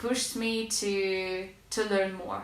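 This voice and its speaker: Medium-pitched woman with a Russian accent, amid audible room echo and noticeable background noise. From Russia, small city near Moscow. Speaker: language learning vlogger. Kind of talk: casual tutorial vlog. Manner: hesitant with fillers.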